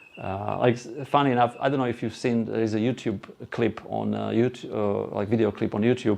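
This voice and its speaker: A man's fairly low-pitched voice with a Slovak accent. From Slovakia. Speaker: presenter. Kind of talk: presentation to live audience. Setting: room with live audience. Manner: halting.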